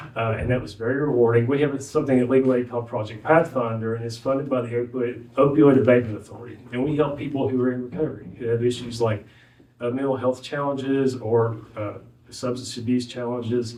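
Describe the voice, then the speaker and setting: This man talks at a very fast pace with a strong Southwest Virginia accent, a medium pitch and monotone, flat intonation, and audible room echo surrounds him. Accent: thick Southwest Virginia. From Southwest Virginia (Wise County). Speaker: former judge, legal aid lawyer. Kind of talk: ceremony speech. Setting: courthouse graduation ceremony. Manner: halting, many fillers.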